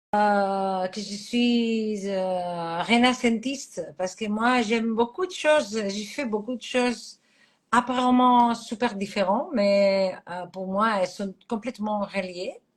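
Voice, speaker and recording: A woman's fairly high, somewhat breathy voice at a very slow pace, with ordinary pitch variation. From Catalonia, Spain. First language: Catalan (speaking French). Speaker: astrologer. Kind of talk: interview. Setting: live stream. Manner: halting.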